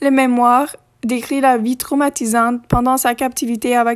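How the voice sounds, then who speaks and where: Flat, monotone delivery at an unhurried but not slow pace. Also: woman. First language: not French (French is third language) (speaking French). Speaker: history video creator. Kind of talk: reading aloud. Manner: halting.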